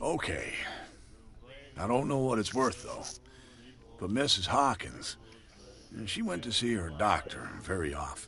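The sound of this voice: A man uses a put-on character voice with vocal fry, a fairly low pitch, a fairly bright tone, big pitch swings and long, frequent pauses. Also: fairly slow pace.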